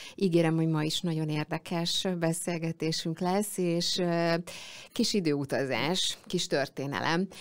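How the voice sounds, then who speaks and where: A woman talks at a fairly slow pace. Her pitch is fairly low and her intonation fairly even. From Hungary. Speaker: radio show host. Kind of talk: interview. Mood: warm, smiling. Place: studio. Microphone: studio mic.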